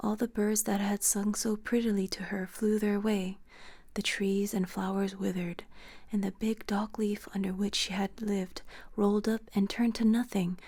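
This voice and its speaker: This soft-spoken voice has a calm, dark, mellow tone, is somewhat breathy, and stays monotone and flat. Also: woman. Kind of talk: softly spoken bedtime story reading. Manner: soft-spoken, calm.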